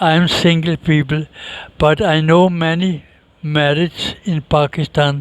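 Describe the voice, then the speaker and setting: A man speaks at a fairly slow pace in a flat, monotone delivery. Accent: Danish. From Denmark. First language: Danish. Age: 60s. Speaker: interviewee. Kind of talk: interview.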